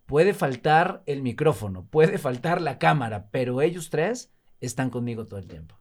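A man speaks at a moderate pace with vocal fry, very wide pitch swings and big swings in loudness. The recording is very clean, with a silent background. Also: fairly high pitch for a man. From Mexico, Veracruz (Alvarado). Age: 50s. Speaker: actor and TV host. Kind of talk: casual interview chat.

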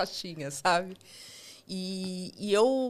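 The background is silent and the recording very clean. Pitch shifts in an ordinary way. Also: woman. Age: 30s. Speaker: digital accessibility QA analyst. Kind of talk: interview.

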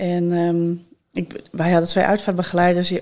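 Her fairly low voice carries at a moderate pace as a woman talks. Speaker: funeral director. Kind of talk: casual chat.

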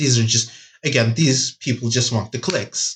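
Against a quiet background, a man speaks somewhat breathily at a moderate pace. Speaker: podcast co-host. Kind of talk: casual chat.

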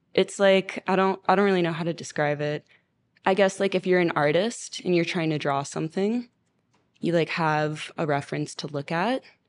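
A woman with an American accent has an ordinary speaking voice, a fairly low pitch, and ordinary pitch variation. She speaks at a moderate pace against a quiet background. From Miami, Florida. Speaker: singer-songwriter and producer. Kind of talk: casual interview.

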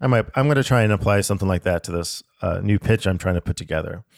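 In an ordinary speaking voice, someone talks at a fairly quick pace with lively intonation, the sound dry and close with no echo on a very clean recording with a silent background. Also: man. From US, born in Alaska. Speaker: podcast co-host. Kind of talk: casual chat.

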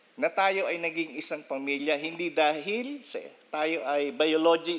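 With lively intonation and a fairly high pitch, a man talks at a fairly slow pace in an ordinary speaking voice. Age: 50s. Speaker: pastor. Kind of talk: sermon.

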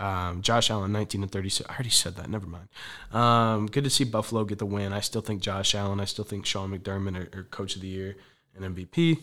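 Speaking very fast in a very clean recording with a silent background, a man has a fairly low pitch, a bright, sharp tone and ordinary pitch variation. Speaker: sports podcast host. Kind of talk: solo sports recap podcast. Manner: casual, many filler words.

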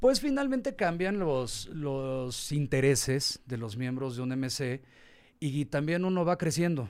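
On a very clean recording with a silent background, a man has a normal speaking voice at a fairly high pitch. He talks at a fairly slow pace with ordinary pitch variation. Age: 40s. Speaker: marketer, businessman and motorcycle tourer. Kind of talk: casual interview. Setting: studio.

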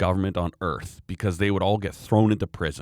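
In a Canadian accent, the voice sounds dry and close with no echo, on a very clean recording with a silent background. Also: man. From Canada. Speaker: podcast co-host. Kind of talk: casual chat.

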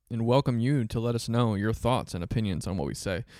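A man speaks at a medium pitch with a dark, mellow tone. The recording is very clean and the background silent. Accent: American. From Central Florida. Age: 20s. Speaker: podcast co-host. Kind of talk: casual chat.

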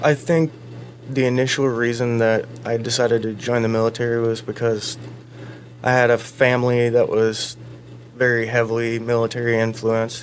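Over noticeable background noise, a man speaks at a moderate pace and medium pitch with a monotone, flat intonation. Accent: American. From Iowa, Fort Dodge. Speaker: army veteran. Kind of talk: radio interview, personal testimony.

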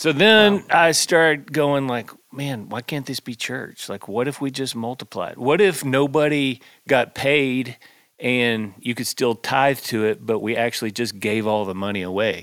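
Lively intonation at a moderate pace in a Texan accent, on a very clean recording with a silent background. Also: man, medium pitch for a man. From Texas, north of Fort Worth. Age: 40s. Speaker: pastor and songwriter. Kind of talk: casual chat.

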